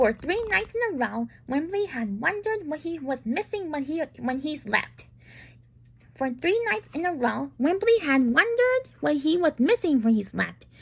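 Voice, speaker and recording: Very wide pitch swings in a woman's high voice, moderately paced. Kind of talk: bedtime story. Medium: read story. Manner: halting, self-correcting.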